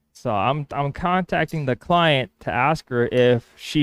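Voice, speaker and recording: A man with lively intonation, recorded dry and close with no echo, on a very clean recording with a silent background. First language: Spanish. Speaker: woodworker. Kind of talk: work vlog monologue. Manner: casual, thinking aloud.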